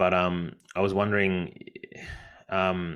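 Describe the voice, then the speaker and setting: This man's pitch is very deep and low, and he speaks with an Australian accent. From Australia, Brisbane. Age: 30s. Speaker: book club host. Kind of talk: interview. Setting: video call.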